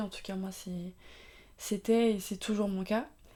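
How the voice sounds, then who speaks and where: A woman speaks at a fairly high pitch with a dark, mellow tone and monotone, flat intonation. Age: 20s. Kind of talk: faith-based talk on mental health. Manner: casual, hesitant with many fillers.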